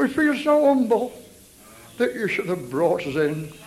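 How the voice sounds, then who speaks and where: Very wide pitch swings stand out against noticeable background noise. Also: man. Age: 70s. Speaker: healing evangelist preacher. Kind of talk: revival healing meeting sermon. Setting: church chapel with congregation. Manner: animated, exhortative.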